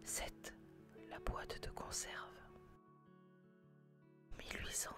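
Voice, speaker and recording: Whispering at a fairly slow pace, with music in the background. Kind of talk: whispered educational narration about history and inventions. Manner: whispered, soft-spoken.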